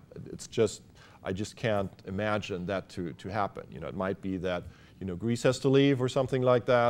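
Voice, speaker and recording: A man with a German accent talks at a fairly quick pace. His pitch is fairly low, with ordinary pitch variation. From Germany. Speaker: business school academic. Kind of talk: interview. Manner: halting, many fillers.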